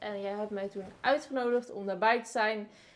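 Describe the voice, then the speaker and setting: A woman is speaking. Her pace is moderate. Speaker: podcast host, marketing and visibility consultant. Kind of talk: casual interview chat. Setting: at the host's home.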